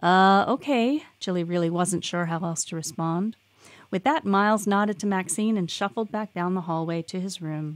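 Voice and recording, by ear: This is someone reading aloud in a natural voice.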